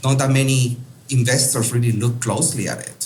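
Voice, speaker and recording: A man's medium-pitched voice in a strong Peruvian accent, fairly quick and monotone and flat, with audible room echo. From Peru, Lima. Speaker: real estate investor. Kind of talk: interview. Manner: hesitant with many fillers.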